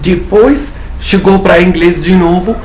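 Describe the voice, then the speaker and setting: A man speaks at a fairly slow pace with a high pitch. Noticeable background noise and audible room echo fill the recording. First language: not Portuguese (speaking Portuguese). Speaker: English teacher. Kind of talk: tutorial.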